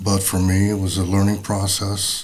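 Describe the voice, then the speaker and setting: In a room with audible echo and noticeable background noise, a man speaks at a fairly low pitch. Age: 60s. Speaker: father of the host. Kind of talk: casual conversation.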